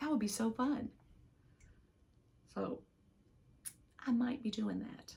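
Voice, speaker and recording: A woman with an American accent speaks at a fairly high pitch. Her voice has vocal fry. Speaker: knitting podcaster. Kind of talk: casual chat. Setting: home loft. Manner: soft-spoken.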